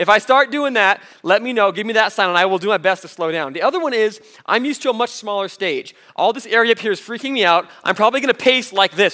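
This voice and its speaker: A man with a high, bright and sharp voice speaks in a raised, projected, animated tone at a very fast pace. He leaves hardly any pauses, and the background is quiet. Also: ordinary pitch variation. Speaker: youth pastor; guest preacher. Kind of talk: sermon. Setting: stage with audience. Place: church.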